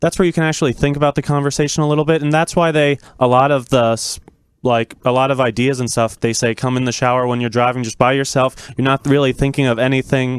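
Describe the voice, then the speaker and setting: A man with a medium pitch talks at a very fast pace, his intonation fairly even. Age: 20s. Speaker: young guest. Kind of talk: casual interview chat. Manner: calm.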